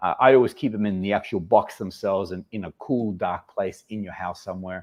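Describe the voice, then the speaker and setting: A man with an Australian accent speaks at a moderate pace in a fairly low pitch, with ordinary pitch variation against a quiet background. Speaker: fragrance channel host. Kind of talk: casual livestream chat. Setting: livestream.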